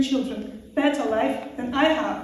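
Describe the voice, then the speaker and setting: A woman with a high pitch speaks fairly slowly and with fairly even intonation against noticeable background noise. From Russia. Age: 40s. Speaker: former asylum seeker, panel speaker. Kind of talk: public talk at debate event. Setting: event with audience. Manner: halting.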